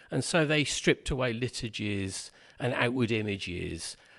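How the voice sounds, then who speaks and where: A man speaks with a Birmingham accent at a moderate pace. The background is quiet. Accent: Brummie. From Birmingham, England. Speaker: Quaker tutor and writer. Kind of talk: podcast conversation. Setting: pub.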